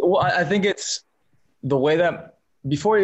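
A man talks in a normal speaking voice at a moderate speed, his pitch varying in an ordinary way. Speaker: actor. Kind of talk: interview.

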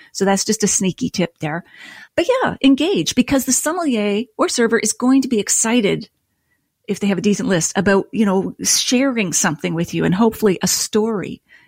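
A woman with a Canadian accent speaks at a fairly quick pace and fairly high pitch, somewhat breathy, with lively intonation. The sound is dry and close with no echo, on a very clean recording with a silent background. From Nova Scotia, Canada. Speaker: wine writer and podcast host. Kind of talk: casual interview chat.

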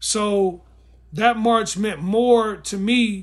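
This man speaks with an American accent. His pitch is high. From Gary, Indiana / Chicago area. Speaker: film director and writer. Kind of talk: casual interview chat.

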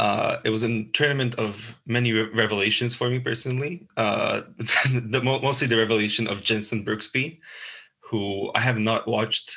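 A man's bright, sharp voice at medium pitch, with fairly even intonation and a moderate pace. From Slovakia. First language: Slovak. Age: 20s. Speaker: tennis podcast co-host. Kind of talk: casual chat. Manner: halting, many fillers.

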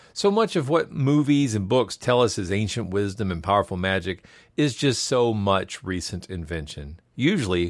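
Fairly low in pitch, a man speaks in a normal speaking voice with lively intonation at a moderate pace, in a very clean recording with a silent background. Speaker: podcast host. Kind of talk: scripted narration; casual chat.

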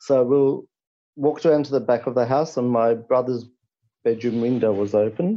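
Speaking with an Australian accent, a man keeps a moderate pace. His intonation is fairly even. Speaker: caller. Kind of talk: storytelling. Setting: phone call.

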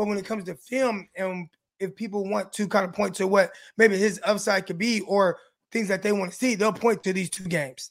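A high-pitched man speaks at a fairly quick pace with fairly even intonation. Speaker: podcast host and former pro football player. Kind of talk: casual sports podcast chat with ad reads.

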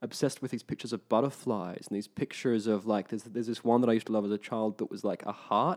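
Very fast speech comes from a man with an Australian accent and fairly even intonation. The recording is very clean, with a silent background. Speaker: actor. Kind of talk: casual chat.

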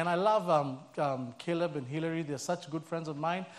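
A man with a Kenyan accent, a warm, relaxed tone and lively intonation, at a moderate pace. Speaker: church staff member, guest preacher. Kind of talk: sermon. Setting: church with live audience. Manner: warm, humorous, relaxed.

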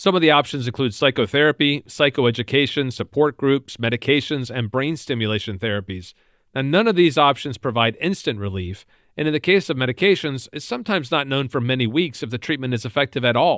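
With an ordinary speaking voice, a man talks at a fairly quick pace, his medium pitch moving in lively intonation. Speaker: podcast host. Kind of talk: interview.

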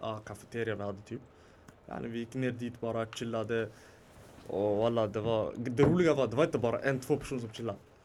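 A man's medium-pitched, normal speaking voice at a fairly quick pace, with fairly even intonation. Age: 20s. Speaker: podcast guest. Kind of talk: casual chat. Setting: studio with small live audience.

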